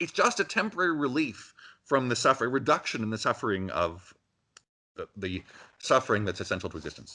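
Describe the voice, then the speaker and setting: Man with a bright, sharp tone, vocal fry and very wide pitch swings, fairly quick, with big swings in loudness over a quiet background. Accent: Canadian. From Canada, Ontario. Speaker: philosophy professor. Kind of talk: interview.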